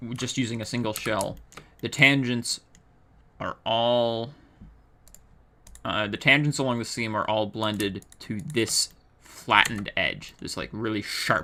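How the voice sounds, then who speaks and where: A man at medium pitch speaks at a fairly slow pace with fairly even intonation. Long pauses come often. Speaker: 3D artist. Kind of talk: software tutorial narration.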